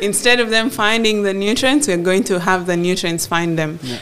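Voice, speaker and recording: Lively intonation from a woman at a moderate pace, with noticeable background noise. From northern Uganda (Gulu). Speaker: agribusiness entrepreneur. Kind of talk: interview before live audience. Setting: office with live audience.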